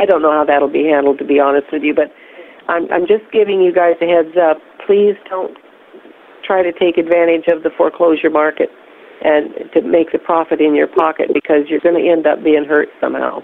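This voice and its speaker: A woman's fairly low voice, fairly even in intonation and fairly quick, with noticeable background noise. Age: 70s. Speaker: whistleblower. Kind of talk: casual chat. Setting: phone call.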